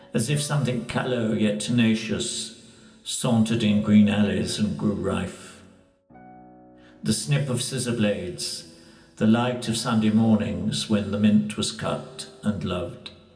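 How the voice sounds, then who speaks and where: Music plays behind a man speaking at a fairly slow pace. His pitch is fairly low with ordinary variation. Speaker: poetry reader. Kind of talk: poetry reading.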